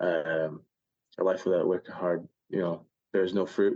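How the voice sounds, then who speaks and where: A man speaks at a fairly slow pace. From Scotland. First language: Spanish. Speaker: baseball player. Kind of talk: casual interview chat. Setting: remote call.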